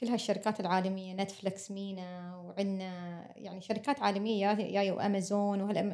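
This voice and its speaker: At a moderate pace, a woman speaks in a monotone, flat manner, her medium-pitched voice dark and mellow in tone. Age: late 30s. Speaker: podcast host. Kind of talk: casual interview.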